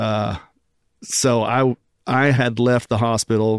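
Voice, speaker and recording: A man's fairly low pitch, fairly even intonation, an ordinary speaking voice. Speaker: restaurant owner. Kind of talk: casual chat. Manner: laid-back, casual.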